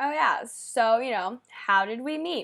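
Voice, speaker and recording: A woman's fairly high voice with lively intonation, in a very clean recording with a silent background. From Japan. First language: Japanese. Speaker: podcast co-host. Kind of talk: casual chat. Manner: halting, many fillers.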